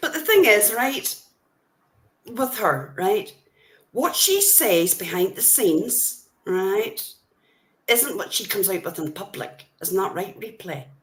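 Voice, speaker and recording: In an Irish accent, a woman speaks at a very slow pace with long, frequent pauses. Her fairly high pitch moves in very wide swings. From Ireland. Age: old. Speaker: livestreamer. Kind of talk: heated livestream rant. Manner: animated.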